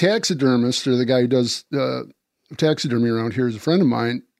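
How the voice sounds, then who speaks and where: A man's medium-pitched, plain, everyday voice with an American accent, on a very clean recording over a silent background. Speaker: deer hunter and disease-control advocate. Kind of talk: casual chat.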